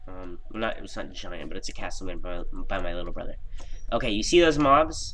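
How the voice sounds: Speaking at a fairly quick pace, a man sounds nasal and low-pitched, with lively intonation.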